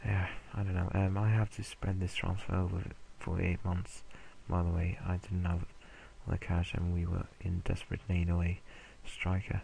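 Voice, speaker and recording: Speaking at a moderate pace with long, frequent pauses, a man with a very deep voice and a dark, mellow, somewhat breathy tone stays monotone and flat at very even loudness. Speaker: video game let's play creator. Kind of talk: casual gameplay commentary. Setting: home recording late at night. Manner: hesitant, many fillers.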